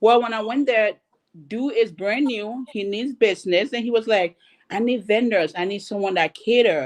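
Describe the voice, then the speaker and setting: A normal speaking voice from a woman, medium in pitch, at a moderate pace, with a dry, close sound and no echo. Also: quiet background. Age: 30s. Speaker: panelist. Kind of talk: panel discussion.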